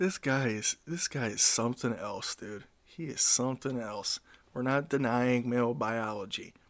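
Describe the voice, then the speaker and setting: A moderate pace and ordinary pitch variation in a dry, close sound with no echo. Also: man, medium pitch for a man. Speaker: YouTube reaction commentator. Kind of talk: casual reaction commentary. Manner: animated.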